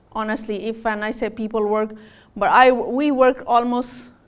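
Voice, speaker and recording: The speaker has a non-native accent and an animated tone. The pace is moderate. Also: woman. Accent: self-noted non-native. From Pakistan. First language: Punjabi. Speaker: physician. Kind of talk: health talk to audience. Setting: stage with audience.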